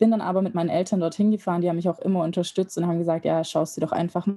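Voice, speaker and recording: In a very clean recording with a silent background, a woman speaks with a fairly low pitch, a dark, mellow tone and fairly even intonation. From Germany. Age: 20s. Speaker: medical student. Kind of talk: casual interview.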